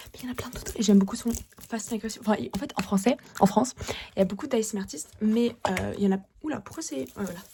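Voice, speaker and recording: A woman talks at a very fast pace in a fairly high voice, with lively intonation, big swings in loudness and noticeable background noise. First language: Russian (speaking French). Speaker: ASMR creator. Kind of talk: fast and aggressive ASMR. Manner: repetitive.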